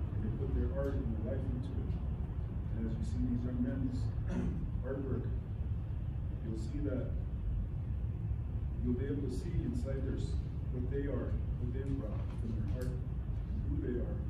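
Loud background noise and audible room echo surround a man who talks at a moderate pace with long, frequent pauses. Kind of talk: blessing speech. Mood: solemn, grateful. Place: hall. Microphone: camera far.

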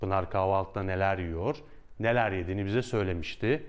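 A man speaks in an unremarkable speaking voice. His pitch sits fairly low, and the background is quiet. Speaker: Turkish language teacher. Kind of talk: tutorial. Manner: clear, slow, repeats phrases for learners.

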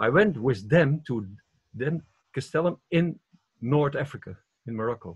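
Somewhat breathy, the man's voice carries lively intonation. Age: 70s. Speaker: retreat participant. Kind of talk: personal sharing. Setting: video call. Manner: halting.

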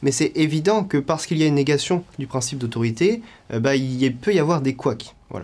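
Fairly high pitch from a man at a fairly quick pace. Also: lively intonation. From western France (La Rochelle); France. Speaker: political activist; interviewee. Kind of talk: interview testimony. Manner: hesitant, frequent fillers. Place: home room.

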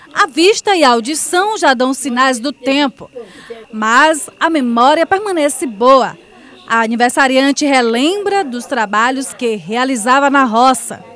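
A woman's high voice with lively intonation, fairly slow delivery, and noticeable background noise. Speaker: TV news reporter. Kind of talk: TV news narration.

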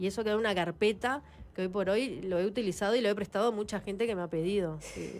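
A woman talks at a very fast pace. Her intonation stays fairly even. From Uruguay. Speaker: former footballer and coach; coach. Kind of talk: interview. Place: studio. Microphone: studio mic.

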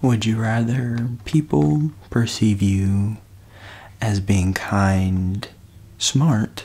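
A soft-spoken man with a warm tone at a very slow pace. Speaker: ASMR creator playing hotline operator. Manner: warm, reassuring, with sleepy pauses and murmured 'mm-hmm'. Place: home room. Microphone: studio mic.

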